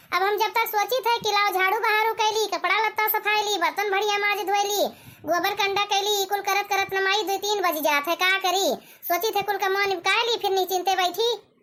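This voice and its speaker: Fairly quick and fairly even in intonation, the cartoonish character voice holds a very even loudness. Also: woman, extremely high pitch for a woman. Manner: soft, plaintive.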